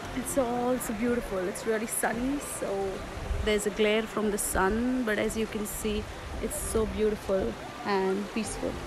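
Over noticeable background noise, a woman speaks at a moderate pace with a dry sound and no echo. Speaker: travel vlogger. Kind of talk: casual vlog chat. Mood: cheerful, relaxed. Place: waterside. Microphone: phone near.

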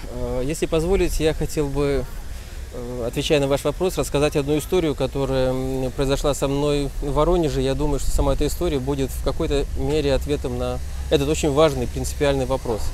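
The man's delivery moves at a fairly quick pace. Light background noise is present, and the sound is dry with no echo. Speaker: interviewee. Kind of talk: interview answer. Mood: solemn, respectful. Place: street. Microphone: handheld.

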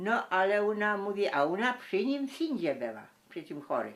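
Fairly slow speech with very wide pitch swings and vocal fry. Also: woman. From Mazovia-Lesser Poland borderland, Poland. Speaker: village folk singer and storyteller. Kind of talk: folk tale telling.

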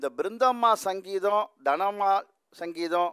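Ordinary pitch variation over a quiet background. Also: man. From Tamil Nadu, Thiruvarur; Tamil Nadu, India. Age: 60s. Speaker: musician; speaker. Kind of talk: speech. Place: hall. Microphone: podium.

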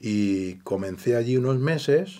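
This man's voice has a dark, mellow tone and ordinary pitch variation over a quiet background. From Andalusia, Granada province; Andalusia. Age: 70s. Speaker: retired electrician; interview guest. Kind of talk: interview. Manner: halting. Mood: calm reminiscing. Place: studio.

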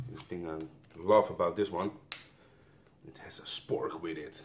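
A man with a Dutch accent speaks at a fairly slow pace, with big swings in loudness and long, frequent pauses over light background noise. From Netherlands. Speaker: YouTuber reviewing military rations. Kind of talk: casual taste-test review video. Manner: halting, non-fluent English. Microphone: phone near.

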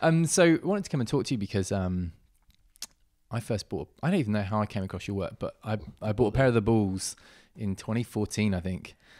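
A man with an English accent at a fairly quick pace against a quiet background. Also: fairly low pitch for a man, lively intonation. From England. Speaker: podcast host. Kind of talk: casual interview. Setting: in person at guest's home. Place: gym. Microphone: handheld.

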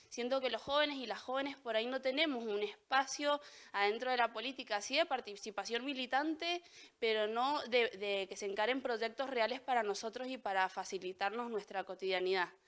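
Fairly quick speech from a woman, pitch varying in an ordinary way. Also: fairly high pitch for a woman. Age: 20s. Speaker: local council candidate and student; council candidate. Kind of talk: candidate statement interview; interview answer. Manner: halting, with repetitions. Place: studio. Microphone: handheld.

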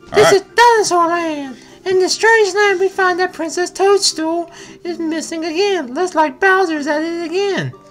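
A put-on character voice, strained and squeaky, sits at an extremely high pitch and a moderate pace. Music plays in the background. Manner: strained, performing.

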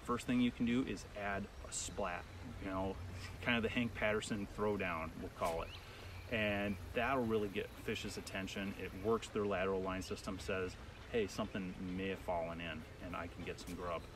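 A man talks at a moderate pace in a fairly low voice with fairly even intonation. The sound is dry with no echo, over noticeable background noise. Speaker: fly fishing guide. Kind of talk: tutorial. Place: waterside. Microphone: camera far.

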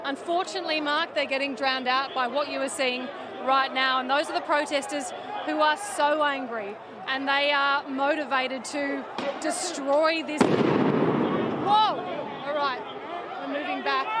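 Against noticeable background noise, a woman with a high pitch and ordinary pitch variation talks at a fairly slow pace, the sound dry with no echo. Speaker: field reporter. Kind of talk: live field report. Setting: outdoors at a street protest. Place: street.

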